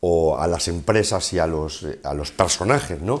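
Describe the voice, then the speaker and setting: A man speaks at a very slow pace with a very deep, low pitch. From Spain, Castilla-La Mancha (Ciudad Real); Castilla-La Mancha, Spain. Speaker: interviewer, business show host. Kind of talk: interview. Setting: bar set. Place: studio. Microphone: lapel.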